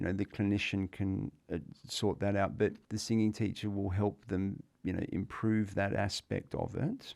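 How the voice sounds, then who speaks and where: A plain, everyday voice from a man, fairly low in pitch with fairly even intonation. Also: moderate pace. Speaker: physiotherapist. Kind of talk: interview answer.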